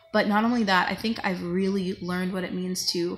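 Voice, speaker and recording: A woman's medium-pitched voice at a fairly quick pace with fairly even intonation, faint music in the background. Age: 20s. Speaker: vlogger. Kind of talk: personal vlog testimony. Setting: at work on a break. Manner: halting. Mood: reflective, subdued, candid. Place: home room. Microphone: phone near.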